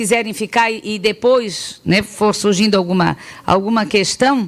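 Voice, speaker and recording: A woman's fairly high voice at a fairly slow pace. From Florianópolis, Santa Catarina, southern Brazil. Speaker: sex education specialist, pedagogue. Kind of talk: public talk with audience interaction. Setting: talk to parents, students and teachers. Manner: hesitant, many fillers and restarts.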